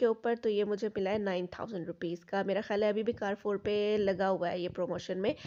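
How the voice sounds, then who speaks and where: A woman speaks with a dark, mellow tone at medium pitch and a moderate pace. Her intonation is fairly even, and the background is quiet. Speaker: vlogger. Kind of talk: casual vlog narration.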